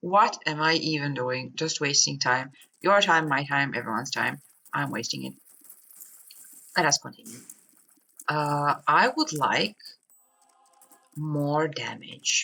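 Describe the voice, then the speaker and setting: Fairly slow mumbling with long, frequent pauses. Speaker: gaming YouTuber. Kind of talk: gameplay commentary.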